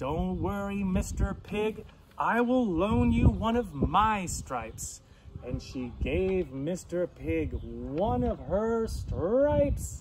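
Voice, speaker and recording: Someone uses a put-on character voice at a low-to-middle pitch and a very slow pace. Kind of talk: bedtime story. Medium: read story.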